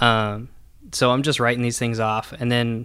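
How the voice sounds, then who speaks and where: A man with a US Midwestern accent on a very clean recording with a silent background. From Nebraska, US Midwest. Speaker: brand marketing staff. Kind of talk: personal storytelling.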